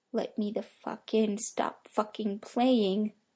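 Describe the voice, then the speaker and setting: Putting on a character voice, a woman speaks fairly slowly at a fairly high pitch in a monotone, flat intonation. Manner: like a talking pet taught to speak.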